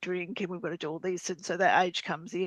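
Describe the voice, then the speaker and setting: A woman speaks with an Australian accent. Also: dry, close sound with no echo. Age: 50s. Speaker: business community member. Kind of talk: online group discussion. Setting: video call.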